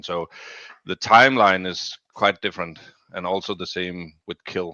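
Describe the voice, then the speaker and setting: The speech comes at a moderate pace with a Danish accent. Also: man. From Denmark. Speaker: crypto gaming community member. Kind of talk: interview. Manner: halting.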